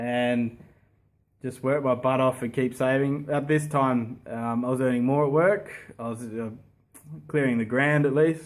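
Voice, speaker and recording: A man at a medium pitch, fairly slow in pace, with fairly even intonation. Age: 30s. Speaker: property investor. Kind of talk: casual talk to camera.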